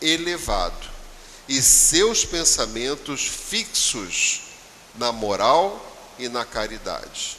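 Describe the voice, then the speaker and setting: A man talks at a very slow pace. There is noticeable background noise. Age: 70s. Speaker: spiritist lecturer. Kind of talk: religious talk. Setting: spiritist center.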